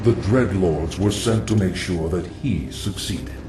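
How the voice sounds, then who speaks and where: Through loud background noise and a slight echo, a man uses a cartoonish character voice with a very deep, low pitch at a moderate pace. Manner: calm, knowing, ominous.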